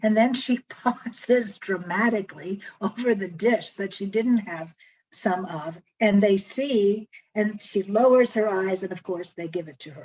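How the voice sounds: At a fairly slow pace, a woman speaks at medium pitch with ordinary pitch variation, a slightly mellow tone and a slightly husky edge.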